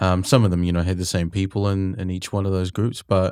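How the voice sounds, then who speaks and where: In a New Zealand accent, a man talks at a very fast pace in a very deep, low pitch, his dark, mellow tone captured dry and close with no echo on a very clean recording with a silent background. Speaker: podcast host and music mentor. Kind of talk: casual interview chat. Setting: studio.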